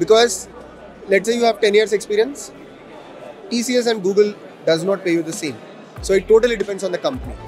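Faint music plays behind a man whose high voice moves at a fairly quick pace, with ordinary pitch variation and a dry sound with no echo. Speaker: interviewee, educator. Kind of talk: interview answer. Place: hall. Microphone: handheld.

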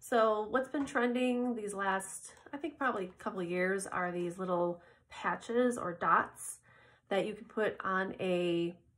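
With an American accent, a woman talks at a fairly slow pace in an upbeat tone with ordinary pitch variation. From Michigan. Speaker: beauty influencer. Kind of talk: casual product review to camera. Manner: upbeat, chatty. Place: home room. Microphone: phone near.

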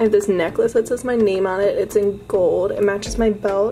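A woman's voice with faint music in the background. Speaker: college student vlogger. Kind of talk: casual vlog chat. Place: home room. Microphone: phone near.

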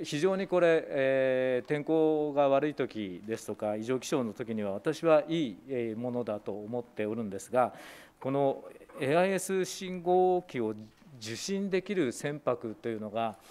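A fairly high-pitched man with lively intonation at a fairly slow pace. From Japan, Saitama. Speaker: opposition legislator. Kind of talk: parliamentary committee questioning; committee questioning. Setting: parliamentary committee room. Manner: formal, with frequent fillers. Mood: polite, measured, many fillers. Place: meeting room. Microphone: podium.

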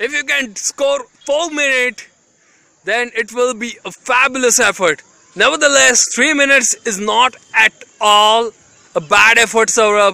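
Against a quiet background, a man uses a raised, projected voice at a fairly slow pace, the sound dry with no echo. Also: ordinary pitch variation. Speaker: narrator filming. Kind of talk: commentary. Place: open country.

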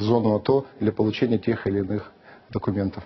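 A man at a moderate pace. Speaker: member of parliament; guest. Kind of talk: TV interview. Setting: studio. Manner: halting. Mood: critical, earnest. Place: studio. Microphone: lapel.

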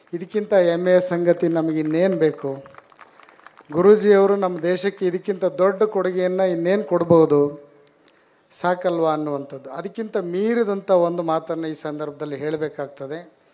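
A man speaks with a high voice. His intonation stays fairly even. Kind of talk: speech at a religious event. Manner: formal.

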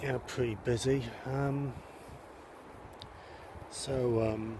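A man's medium-pitched voice, dark and mellow and somewhat breathy, in a monotone, flat intonation at a very slow pace, with a dry sound with no echo and noticeable background noise. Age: 40s. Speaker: vlogger. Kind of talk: casual vlog talk to camera. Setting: outdoors. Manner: hesitant, many filler sounds. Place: open country. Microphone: phone near.

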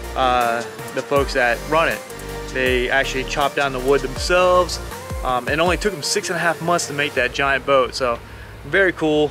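Clear background music behind a man at a moderate pace, ordinary pitch variation, and a dry sound with no echo. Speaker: travel vlogger. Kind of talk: casual vlog chat. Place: waterside. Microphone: phone near.

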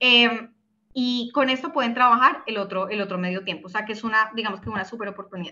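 In a Bogotá accent, the speaker talks at a very fast pace with ordinary pitch variation. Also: woman, fairly high pitch for a woman. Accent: Colombian, Bogotá. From Bogotá, Colombia. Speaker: startup co-founder. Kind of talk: webinar presentation. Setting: video call. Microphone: video call.

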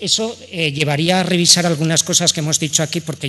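In an ordinary speaking voice, a man talks at a fairly quick pace with fairly even intonation. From Aragon, Spain. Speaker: economist and researcher; speaker. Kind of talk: panel talk. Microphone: podium.

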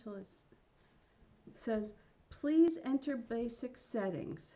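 This woman has a fairly high pitch with lively intonation, a dark, mellow tone and a somewhat breathy quality. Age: 50s. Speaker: vlogger. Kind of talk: casual vlog.

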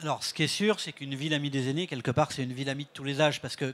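A fairly high-pitched male voice. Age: 60s. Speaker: director of a senior-friendly cities network; panel expert. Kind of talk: panel interview. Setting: stage with audience. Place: stage. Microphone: handheld.

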